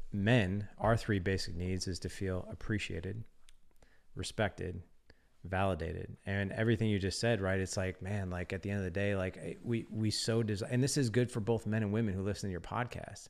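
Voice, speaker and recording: A man with a normal speaking voice talks at a fairly quick pace and fairly low pitch with fairly even intonation, in a very clean recording with a silent background. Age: 40s. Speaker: fatherhood podcast host and community founder. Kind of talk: casual interview conversation.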